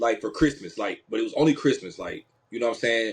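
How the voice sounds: A man talks at a fast pace with lively intonation and a slightly husky edge. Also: fairly low pitch for a man.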